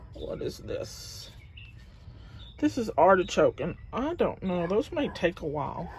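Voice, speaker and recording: With a Southern US accent, a woman mumbles in a fairly high pitch. Her voice is somewhat breathy. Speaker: gardening vlogger. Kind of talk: casual vlog tour. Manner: mumbling.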